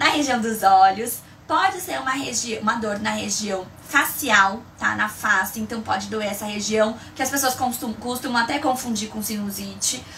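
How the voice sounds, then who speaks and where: A woman talks at a moderate pace in an animated tone, her pitch fairly high with ordinary variation. Noticeable background noise and audible room echo fill the recording. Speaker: migraine educator, live streamer. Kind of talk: live stream tutorial. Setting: live stream.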